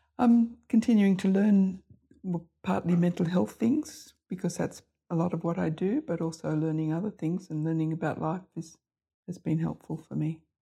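A somewhat breathy voice with an Australian accent and a dark, mellow tone. It moves at a moderate pace with ordinary pitch variation. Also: woman. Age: 70s. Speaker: general practitioner. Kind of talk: casual group conversation.

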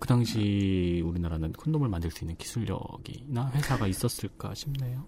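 A normal speaking voice from a man, fairly low in pitch, with lively intonation, a moderate pace and hardly any pauses. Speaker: journalist. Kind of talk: casual discussion.

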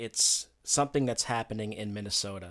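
A medium-pitched man with an American accent and ordinary pitch variation, on a very clean recording with a silent background. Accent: doesn't sound like he's from New York. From upstate New York (Rochester). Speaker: sports and event photographer, media business owner. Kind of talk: casual interview chat. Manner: halting, many fillers.

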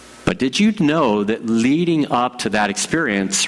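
A man speaks at a fairly slow pace with very wide pitch swings. Noticeable background noise runs under his voice. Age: 50s. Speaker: pastor. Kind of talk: sermon.

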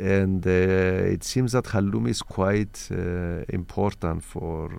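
A very deep, low male voice with a dark, mellow tone, a Greek accent and a very slow pace. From Cyprus. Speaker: diplomat. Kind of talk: radio interview. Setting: studio. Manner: halting.

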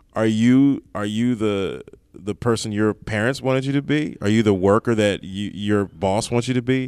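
A plain, everyday voice from a man with an American accent, fairly low in pitch with ordinary pitch variation at a moderate pace, on a very clean recording with a silent background. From Maryland, Prince George's County (DC area). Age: 30s. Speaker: stand-up comedian. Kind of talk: casual chat. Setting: comedy club back room.

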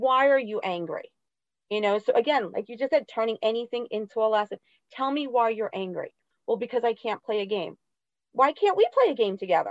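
The sound is dry and close with no echo. A woman talks at a fairly quick pace and fairly high pitch with ordinary pitch variation. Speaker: special education teacher. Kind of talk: interview. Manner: loud.

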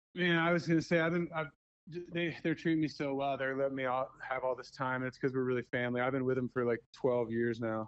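This man talks at a very fast pace with fairly even intonation. His pitch sits in the medium range. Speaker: band lighting technician and angler. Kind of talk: casual interview.

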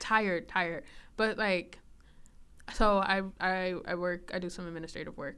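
At a moderate pace, a woman talks at a medium pitch. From Chicago, South Side. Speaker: podcast co-host. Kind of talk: casual chat.

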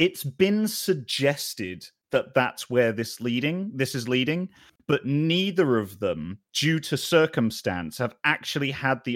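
Recorded very cleanly against a silent background, with a dry, close sound and no echo, a man with a British accent speaks with very wide pitch swings. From Britain. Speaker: video producer and streamer. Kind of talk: role-playing game session. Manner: animated.

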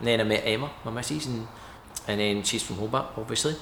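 A man's medium-pitched voice at a very fast pace, over noticeable background noise. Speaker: distillery owner. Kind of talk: interview chat.

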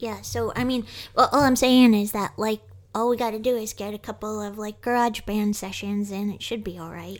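A woman with a normal speaking voice and a fairly high pitch talks at a moderate pace. Her intonation is fairly even, though her loudness swings widely. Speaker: podcast co-host, writer. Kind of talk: casual conversation between two co-hosts.

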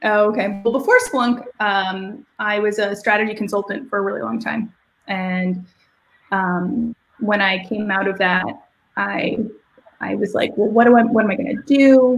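A woman speaks at a moderate pace with fairly even intonation in an ordinary speaking voice, her pitch medium for a woman. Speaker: product manager. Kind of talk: casual interview.

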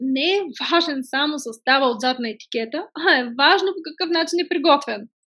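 A woman speaks in a raised, projected voice with a bright, sharp tone and a high pitch. Her intonation is lively, her pace moderate, and she hardly pauses. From Bulgaria, Stara Zagora. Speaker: entrepreneur, cosmetics brand founder. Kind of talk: podcast interview.

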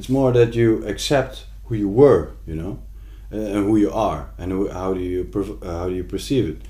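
Somewhat breathy and dark and mellow in tone, a fairly low-pitched man talks at a moderate pace with ordinary pitch variation and a Dutch accent, with audible room echo. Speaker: visual artist. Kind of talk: casual chat. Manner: halting.

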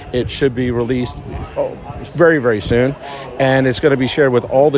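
With a New York accent and a medium pitch, a man talks at a fairly quick pace in fairly even intonation amid noticeable background noise. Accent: New York American. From New York, Long Island. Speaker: orthopedic surgeon and medical director. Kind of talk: interview. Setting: racecourse.

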